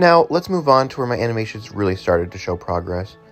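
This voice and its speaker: Very fast talk from a man, with noticeable noise in the background. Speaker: hobbyist animator and video creator. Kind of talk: casual retrospective commentary. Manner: casual, filler-heavy.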